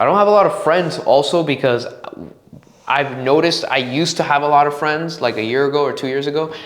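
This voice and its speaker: Amid noticeable background noise and audible room echo, a man with a Spanish accent talks at a very fast pace in an animated tone, his pitch fairly high with ordinary variation. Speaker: podcast host. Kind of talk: casual monologue. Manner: halting.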